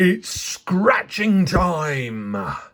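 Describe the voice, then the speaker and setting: The voice is pitched in the middle. It is a put-on character voice. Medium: read story.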